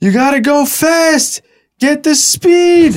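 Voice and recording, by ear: The delivery is a put-on character voice. Its pace is very slow. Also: man, extremely high pitch for a man.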